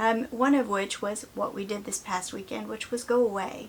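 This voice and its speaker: In a Southern US accent, a woman speaks at medium pitch and a moderate pace. Her voice is somewhat breathy. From US South. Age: 50s. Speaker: vlogger. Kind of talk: casual chat.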